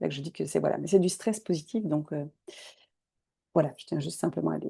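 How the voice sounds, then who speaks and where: A woman talks with vocal fry in a dark, mellow tone. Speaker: holistic coach. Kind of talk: online masterclass.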